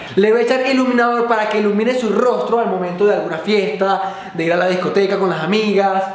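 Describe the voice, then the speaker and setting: This man has a high pitch, fairly even intonation and a fairly quick pace, with audible room echo and light background noise. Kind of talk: casual vlog chat. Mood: playful, joking. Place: home room.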